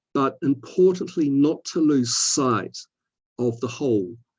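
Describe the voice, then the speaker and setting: A man with an Antipodean accent speaks with ordinary pitch variation. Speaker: scientist, physiology society representative. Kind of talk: webinar talk. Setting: online webinar. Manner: repetitive hesitations.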